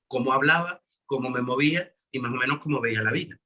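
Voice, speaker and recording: In an Andalusian accent, a man speaks at a medium pitch and moderate pace with a bright, sharp tone and ordinary pitch variation. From Andalusia, Spain. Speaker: musical theatre actor. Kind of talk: interview.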